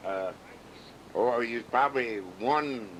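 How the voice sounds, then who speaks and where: With a Midwestern US accent, a man speaks at a fairly slow pace. His tone is bright and sharp. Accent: rural Midwestern American. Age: 70s. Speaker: father recording family memories. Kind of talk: oral history recording. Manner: relaxed, hesitant with fillers.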